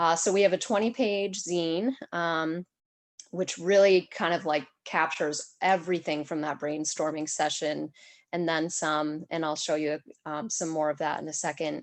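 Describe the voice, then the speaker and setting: A woman talks in a normal speaking voice at a moderate pace with fairly even intonation. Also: fairly low pitch for a woman, quiet background. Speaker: community health program coordinator. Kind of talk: presentation in an online meeting.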